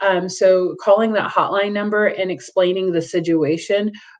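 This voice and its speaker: Delivered at a moderate pace, this is a normal speaking voice. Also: woman. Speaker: domestic violence agency representative. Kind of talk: presentation with Q&A.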